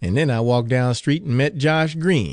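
Against a quiet background, a man speaks in a dramatic tone at a medium pitch. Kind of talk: audiobook reading. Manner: dramatic, voicing characters.

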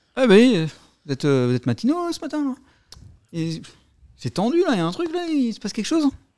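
Rushing at a fast pace, a put-on character voice with a slightly mellow tone swings very widely in pitch. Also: man, extremely high pitch for a man.

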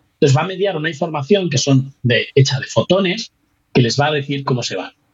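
Speaking at a very fast pace, a man with a fairly high pitch sounds somewhat breathy and shows ordinary pitch variation. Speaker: physics researcher. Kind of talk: casual interview. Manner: halting.

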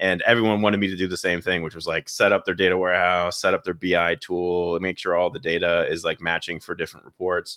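A man with a very deep, low pitch and a bright, sharp tone speaks in a monotone, flat intonation. He goes at a very fast pace with hardly any pauses, in a dry, close sound with no echo. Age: 30s. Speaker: data consulting firm CEO. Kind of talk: interview.

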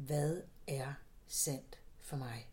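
A woman with a very deep, low pitch speaks in a dark, mellow, somewhat breathy tone with ordinary pitch variation. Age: 60s. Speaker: psychotherapist. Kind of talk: interview. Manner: halting.

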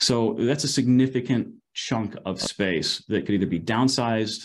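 A man talks with ordinary variation in his pitch. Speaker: research director interviewer. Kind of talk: interview on research report.

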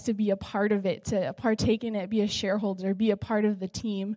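In a normal speaking voice, a woman talks at a fairly quick pace and fairly high pitch with fairly even intonation, on a very clean recording with a silent background. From Southern California. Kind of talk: testimony.

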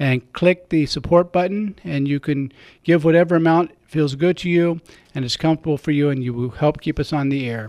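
Heard on a very clean recording with a silent background and a dry, close sound with no echo, a man with an unremarkable speaking voice talks at a fairly quick pace in a fairly high pitch with ordinary variation. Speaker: radio host and priest. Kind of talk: radio talk show interview. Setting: radio studio.

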